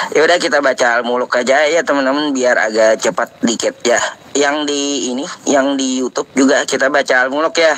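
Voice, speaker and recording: A man's fairly high voice at a fairly quick pace over noticeable background noise. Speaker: Islamic preacher hosting live Q&A stream. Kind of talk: live stream chat with callers. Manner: casual, animated.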